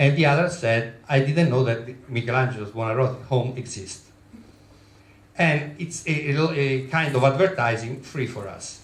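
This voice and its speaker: A man's medium-pitched voice with an Italian accent, at a moderate pace with ordinary pitch variation. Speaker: travel business owner. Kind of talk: presentation. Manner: halting.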